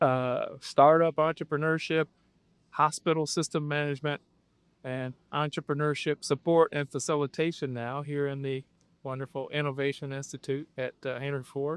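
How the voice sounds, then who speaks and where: A man with a Midwestern accent speaks at a moderate pace in a fairly high pitch with monotone, flat intonation. The recording is very clean, with a silent background and a dry, close sound with no echo. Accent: American Midwest. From Flint, Michigan. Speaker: podcast host. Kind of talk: interview.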